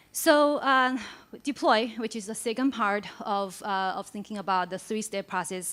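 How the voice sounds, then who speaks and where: At a moderate pace, a woman speaks in a very clean recording with a silent background. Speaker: conference speaker. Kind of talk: conference talk. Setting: stage with audience. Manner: hesitant, many fillers.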